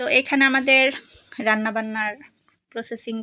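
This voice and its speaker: A woman's fairly high, bright and sharp voice in a monotone, flat intonation, recorded very clean with a silent background and a dry, close sound with no echo. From Bangladesh, Narail (Lohagara). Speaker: vlogger. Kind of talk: vlog narration. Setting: at family home.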